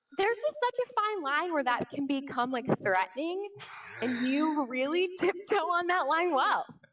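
With an American accent, a woman at an extremely high pitch speaks at a moderate pace with very wide pitch swings and very even loudness over noticeable background noise. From Kansas City, Missouri. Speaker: social worker. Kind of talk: casual chat. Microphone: held too far from mouth.

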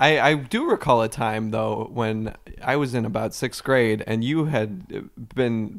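A man with an American accent and a normal speaking voice, medium in pitch, with ordinary pitch variation, a moderate pace, and a very clean recording over a silent background. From US Midwest, Cleveland suburbs. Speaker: podcast co-host. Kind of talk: improvised comedy chat.

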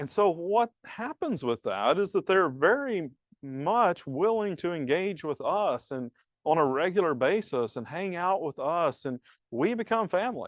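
In a Southern US accent, a man speaks at a fairly slow pace and high pitch with very wide pitch swings, the sound dry and close with no echo over a quiet background. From US South, rural piney woods. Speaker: pastor. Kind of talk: conference talk. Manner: halting, repeats words.

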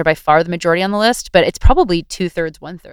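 A woman with a Canadian accent is heard in a dry, close sound with no echo. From Ontario, Greater Toronto Area. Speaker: writer and activist. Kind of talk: casual interview. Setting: video call.

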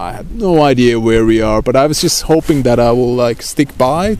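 Against noticeable background noise, a man with a Finnish accent speaks at a medium pitch. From Finland, Lapland. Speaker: traveler. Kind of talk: casual chat. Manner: halting.

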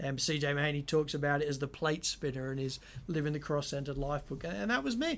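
Speaking at a very fast pace, a man with an Australian accent has a fairly high pitch and ordinary pitch variation in a very clean recording with a silent background. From Sydney, Australia. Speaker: pastor and podcast co-host. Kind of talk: casual podcast discussion.

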